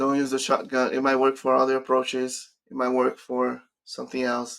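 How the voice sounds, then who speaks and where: A man with a Brazilian accent at a moderate pace. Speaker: career coach. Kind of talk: live stream Q&A.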